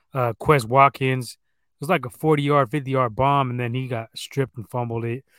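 A plain, everyday voice from a man, medium-pitched and moderately paced. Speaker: sports podcast host. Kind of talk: casual profanity-heavy sports banter. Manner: casual, profane, talkative.

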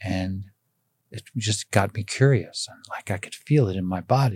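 A man speaks at a moderate pace in a fairly low, somewhat breathy voice, on a very clean recording with a silent background. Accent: American. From United States. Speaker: energy healer. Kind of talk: casual interview. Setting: in person.

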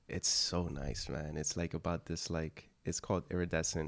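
A man with an American accent speaks at a very deep, low pitch with vocal fry. His intonation stays fairly even on a very clean recording with a silent background. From US-born, Dominican parents. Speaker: actor and filmmaker. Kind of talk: casual chat.

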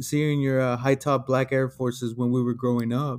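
A man with an American accent speaks in a normal speaking voice. His pace is moderate. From Texas. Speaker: podcast co-host. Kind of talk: casual chat.

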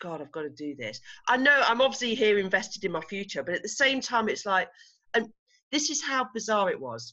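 With an English accent, a woman talks at a fairly quick pace and medium pitch, her voice showing vocal fry and very wide pitch swings. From England. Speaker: retreat organiser and coaching client. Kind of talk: interview. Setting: video call.

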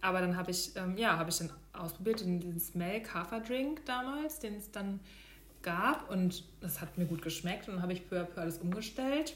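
Against noticeable background noise and audible room echo, a woman speaks at a medium pitch with lively intonation. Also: moderate pace. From Hesse, Germany (near Darmstadt). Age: 30s. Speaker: product manager and vegan food blogger. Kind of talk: casual interview chat.

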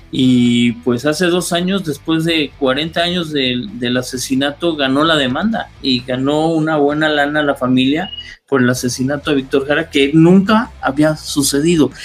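Over noticeable background noise, a man with a fairly high pitch and ordinary pitch variation speaks at a fairly slow pace, with hardly any pauses and very even loudness. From Mexico City (Coyoacán). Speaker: radio producer and announcer. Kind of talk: casual chat. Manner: halting, repeats words.

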